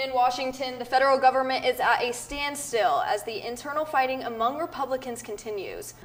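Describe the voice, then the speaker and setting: Speech runs at a fairly quick pace with hardly any pauses over noticeable background noise. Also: woman, high pitch for a woman, ordinary pitch variation. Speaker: news anchor and reporter. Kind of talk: broadcast news anchor read. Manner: clear, polished, professional.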